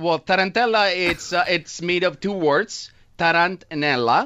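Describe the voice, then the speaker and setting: Over a quiet background, a man with an Italian accent talks very slowly in a playful tone at a high pitch. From Italy. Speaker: radio show co-host. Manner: playful, joking. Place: studio. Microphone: studio mic.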